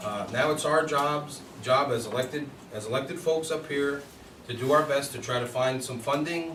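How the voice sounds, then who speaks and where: Fairly even intonation at a moderate pace comes through audible room echo and noticeable background noise. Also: man, fairly high pitch for a man. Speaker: village board member. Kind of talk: public meeting. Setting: village board meeting.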